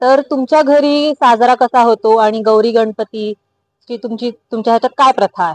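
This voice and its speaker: A woman's ordinary speaking voice, fairly high in pitch with ordinary pitch variation, in a dry, close sound with no echo. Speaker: reporter, street interviewer. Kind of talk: interview question, news-style intro.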